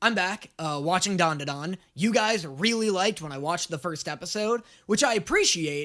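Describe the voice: A man's high-pitched voice, fairly bright in tone, with lively intonation at a moderate pace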